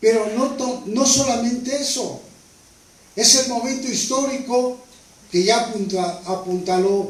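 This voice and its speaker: A man speaks at a very slow pace. Noticeable background noise and audible room echo are heard. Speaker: author and history speaker on a panel. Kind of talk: panel talk. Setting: panel discussion at a table. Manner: formal.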